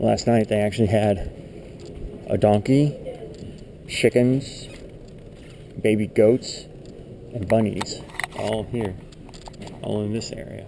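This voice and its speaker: Quiet and very slow, a man speaks at a fairly low pitch with fairly even intonation and long, frequent pauses, over noticeable background noise. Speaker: YouTuber. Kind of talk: walkthrough tour narration. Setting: indoors in a church building. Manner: soft-spoken.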